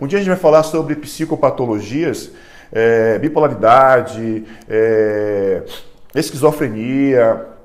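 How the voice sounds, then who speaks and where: The speaker talks at a very slow pace, with audible echo from the room. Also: man, medium pitch for a man. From Brazil, Salvador (Bahia). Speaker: neuropsychologist. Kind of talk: online class / lecture. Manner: halting, frequent repetitions and fillers.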